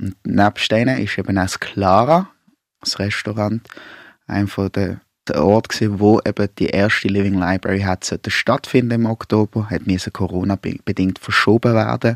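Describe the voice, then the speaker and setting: A man with an ordinary speaking voice, fairly low in pitch, at a moderate pace with ordinary pitch variation, in a dry, close sound with no echo and a very clean recording with a silent background. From Basel, Switzerland. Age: 30s. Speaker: primary school teacher and anti-racism activist. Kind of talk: radio interview and moderation.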